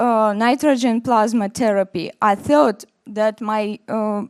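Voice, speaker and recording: A woman at a fairly high pitch, fairly even in intonation, at a very slow pace. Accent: Russian. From Russia. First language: Russian. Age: 40s. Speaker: dermatologist. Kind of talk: conference presentation. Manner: halting.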